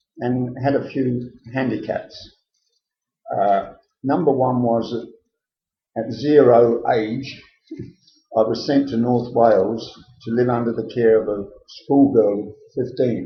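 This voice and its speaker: A man's somewhat breathy voice, monotone and flat, at a fairly slow pace with long, frequent pauses. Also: medium pitch for a man. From Liverpool, England. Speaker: interviewee recounting life story. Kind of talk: oral history interview.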